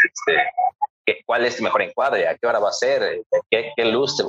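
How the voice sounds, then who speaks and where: A man talks at a moderate pace in a Mexican accent. The sound is dry and close, with no echo. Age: 30s. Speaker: photographer. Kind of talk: casual chat.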